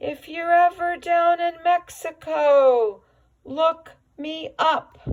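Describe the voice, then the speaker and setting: A woman uses a put-on character voice, extremely high in pitch, at a very slow pace. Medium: read story. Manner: jokey, breezy.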